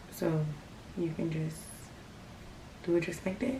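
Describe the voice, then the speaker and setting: A quiet woman's voice with audible room echo. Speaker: craft tutorial youtuber. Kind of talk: tutorial. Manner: quiet, hushed; casual, filler-heavy.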